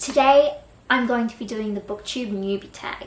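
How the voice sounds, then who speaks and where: Speaking at a moderate pace, a woman with an Australian accent uses a fairly high pitch and ordinary pitch variation. Noticeable background noise sits behind her. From Australia, Brisbane. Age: 20s. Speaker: book vlogger. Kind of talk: casual vlog talk to camera.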